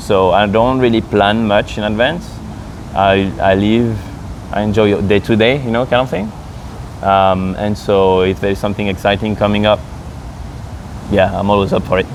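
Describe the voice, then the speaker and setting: A man's fairly low voice with a French accent, at a moderate pace, with fairly even intonation, long, frequent pauses and noticeable background noise. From France. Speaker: expat interviewee. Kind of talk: casual interview.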